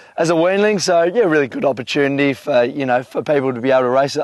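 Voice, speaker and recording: The speaker uses ordinary pitch variation and an Australian accent. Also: man. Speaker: horse trainer. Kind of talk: casual chat. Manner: hesitant, many fillers.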